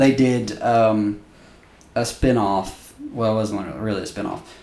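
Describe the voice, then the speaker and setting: A man with an ordinary speaking voice talks fairly slowly at a fairly low pitch, his intonation fairly even. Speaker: podcast host. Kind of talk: casual comedic banter.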